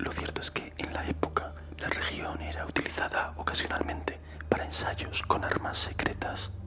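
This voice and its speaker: The whisper moves along at a moderate pace. Background noise is noticeable throughout. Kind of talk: whispered ASMR horror story narration. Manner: whispering, soft-spoken.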